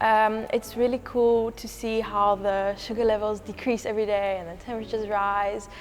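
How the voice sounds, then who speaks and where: With music in the background, a woman talks at a moderate pace in a fairly high pitch with fairly even intonation. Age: 20s. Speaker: winery intern, wine business student. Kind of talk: casual interview chat.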